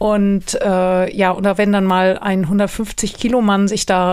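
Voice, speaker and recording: A woman's monotone, flat intonation is captured on a very clean recording with a silent background. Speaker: podcast host, holiday rental expert. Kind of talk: solo podcast talk. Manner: casual, chatty.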